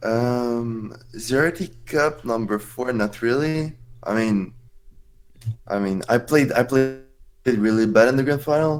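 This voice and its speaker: With music in the background, a man speaks at a very slow pace in a French accent. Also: medium pitch for a man, ordinary pitch variation. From France. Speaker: esports player. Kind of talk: casual chat. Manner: halting.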